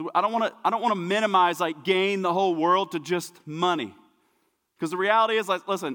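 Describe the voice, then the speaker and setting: A man's high-pitched voice with an American accent, very fast, animated and bright, sharp in tone. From US, small town. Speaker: pastor. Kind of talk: sermon. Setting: church.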